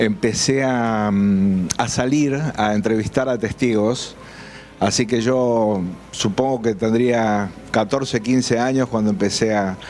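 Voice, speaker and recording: Amid noticeable background noise, a man speaks at a very slow pace with very even loudness. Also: medium pitch for a man, fairly even intonation. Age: 60s. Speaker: UFO researcher and journalist. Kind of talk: interview. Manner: halting, many fillers.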